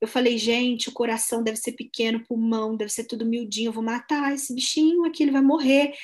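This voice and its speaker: Against a quiet background, a woman speaks in a fairly high pitch. Her intonation is fairly even. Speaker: anthropologist and writer. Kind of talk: casual chat.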